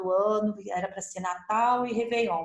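A woman's voice with a slight São Paulo accent and audible room echo. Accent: slight caipira accent with rolled R. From Ribeirão Preto, interior of São Paulo, Brazil. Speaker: travel agent. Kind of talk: casual chat.

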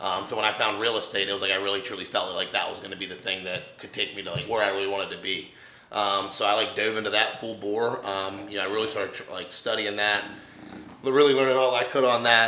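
Talking very fast with an American accent and a fairly low pitch, a man is heard through audible room echo and noticeable background noise. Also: fairly even intonation. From West Virginia, Wheeling. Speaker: bodybuilder and real estate investor. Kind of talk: casual interview chat. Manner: hesitant, filler-heavy.

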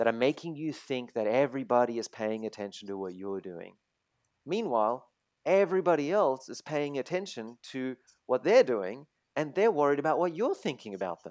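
With a German accent, a man talks at a fairly quick pace with very wide pitch swings, the sound dry and close with no echo against a quiet background. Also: medium pitch for a man, big swings in loudness. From Germany, raised in Australia from teens. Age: 30s. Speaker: online entrepreneur and designer. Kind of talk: casual interview chat. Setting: video call.

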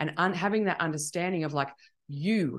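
A woman's fairly low-pitched voice, an ordinary speaking voice, with ordinary pitch variation against a quiet background. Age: 40s. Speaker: life coach. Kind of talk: casual chat.

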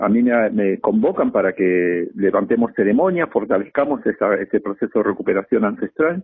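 Speaking at a moderate pace with hardly any pauses, a man keeps his loudness very even. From Argentine Patagonia, Mapuche. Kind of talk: radio interview. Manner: halting.

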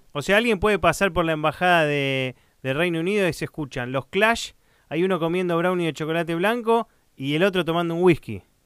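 This man speaks at a fairly quick pace in a high pitch, with ordinary pitch variation. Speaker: podcast host. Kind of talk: interview.

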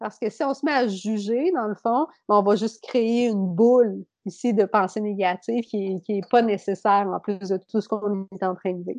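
In a Beauce accent, a woman speaks at a moderate pace and a medium pitch, with ordinary pitch variation and a dry, close sound with no echo. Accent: Québécois French, Beauce. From Quebec, Beauce region. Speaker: yoga teacher and mental performance consultant. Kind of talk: casual interview chat.

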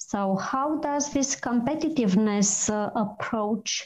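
A somewhat breathy woman's voice with a Romanian accent, fairly high in pitch, dark and mellow in tone, over a quiet background. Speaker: PR manager and co-host. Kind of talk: interview. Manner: hesitant, many fillers.

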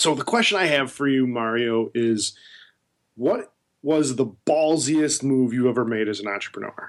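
Moderate pace, medium pitch and ordinary pitch variation from a man with an unremarkable speaking voice. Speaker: podcast co-host. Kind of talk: interview. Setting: studio.

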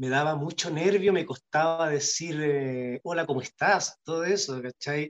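Ordinary pitch variation runs through speech in a Chilean accent. The pace is fairly slow with hardly any pauses. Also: man, fairly high pitch for a man. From Chile, Punta Arenas. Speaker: actor. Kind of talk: casual interview. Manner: halting, many repetitions and fillers.

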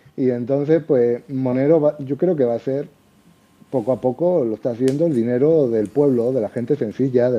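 A man with a medium pitch talks at a fairly slow pace, his pitch varying in an ordinary way. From Andalusia, Seville. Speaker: crypto enthusiast. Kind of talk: casual chat.

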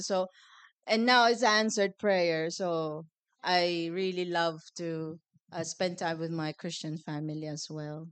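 This woman has an unremarkable speaking voice, fairly low in pitch. She talks at a moderate pace with fairly even intonation against a quiet background. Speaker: congregation member sharing group discussion.

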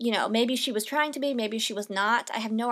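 In a very clean recording with a silent background, a woman speaks with a fairly high pitch. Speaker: podcast host. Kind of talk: solo monologue. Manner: fast; animated.

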